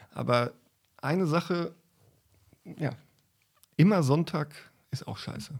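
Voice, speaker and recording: A man with vocal fry speaks at a fairly slow pace and fairly high pitch, with ordinary pitch variation and long, frequent pauses. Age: 40s. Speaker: cameraman. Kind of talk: interview. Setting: hotel. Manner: halting.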